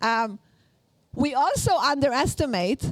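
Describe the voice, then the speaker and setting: A woman is speaking. She has an Israeli accent. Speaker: workshop instructor. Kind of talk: lecture. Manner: halting, many fillers.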